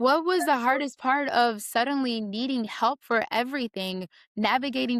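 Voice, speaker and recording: In a very clean recording with a silent background and a dry, close sound with no echo, a woman talks at a fairly slow pace in a plain, everyday voice. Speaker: podcast host, actress and stunt performer. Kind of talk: interview question, casual conversation.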